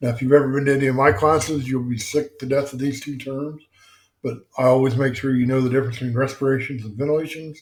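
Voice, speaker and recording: A man talks very fast at a medium pitch, somewhat breathy. His intonation is monotone and flat. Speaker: EMS instructor. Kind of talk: lecture. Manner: casual, many fillers.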